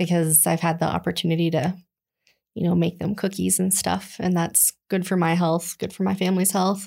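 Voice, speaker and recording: A woman's fairly low voice with vocal fry, flat monotone delivery, very even loudness and a moderate pace, on a very clean recording with a silent background. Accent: American. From Colorado. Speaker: children's ministry director. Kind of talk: casual chat.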